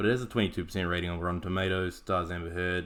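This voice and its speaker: A man speaks with a New Zealand accent. His voice sits very deep and low. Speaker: podcast host, martial arts analyst. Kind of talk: scripted podcast analysis. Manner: casual, wry.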